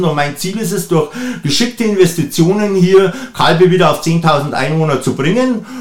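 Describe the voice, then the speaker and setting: With a Bavarian accent, a man speaks at a moderate pace in a high pitch. Noticeable background noise can be heard. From Bavaria, Upper Bavaria (Traunstein district). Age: 50s. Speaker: mayoral candidate, politician. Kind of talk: interview. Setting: studio.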